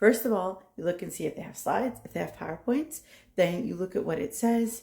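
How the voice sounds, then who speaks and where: The woman's voice is dark and mellow, with vocal fry. Her pitch moves in very wide swings. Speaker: nursing professor. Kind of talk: tutorial. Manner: fast; casual.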